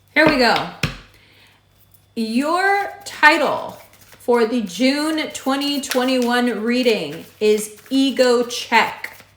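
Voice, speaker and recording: Lively intonation carries through a very slow delivery, with audible room echo and noticeable background noise. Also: woman, high pitch for a woman. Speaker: astrologer. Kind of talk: horoscope reading.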